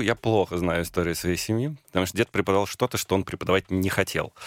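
A man with a very deep, low voice. The sound is dry and close, with no echo. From Moscow region, Russia. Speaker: film and theatre director. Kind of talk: radio interview.

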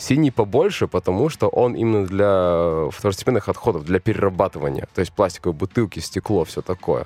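A man talks at a moderate pace with hardly any pauses, in an ordinary speaking voice pitched fairly low. His intonation is lively, and the sound is dry and close with no echo. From New Zealand (born in Russian Far East). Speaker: interview guest, expat returnee. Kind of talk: interview.

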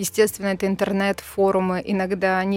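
Music sits in the background behind a woman's voice. She has a medium pitch and keeps a moderate pace. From Russia, Bryansk. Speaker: TV presenter. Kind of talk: casual chat.

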